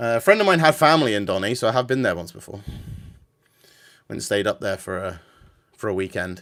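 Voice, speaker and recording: At a very fast pace, a man with a medium pitch talks in lively intonation, leaving long, frequent pauses. The recording is very clean, with a silent background. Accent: southern English. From England, about fifty miles north of London. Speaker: gaming livestreamer. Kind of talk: casual livestream chat. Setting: vertical livestream with music in background. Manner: hesitant, many fillers.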